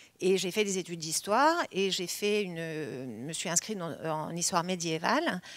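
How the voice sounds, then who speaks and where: A woman's voice at a medium pitch. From Belgium, moved to Paris at age ten. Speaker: film producer. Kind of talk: interview talk. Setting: online session from a cinema hall. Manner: halting, many hesitations.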